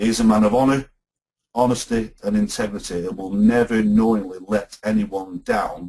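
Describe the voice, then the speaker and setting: The voice has a dark, mellow tone. Its pitch variation is ordinary. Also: man. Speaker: company representative hosting webinar. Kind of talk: webinar presentation. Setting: online webinar. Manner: slow and deliberate.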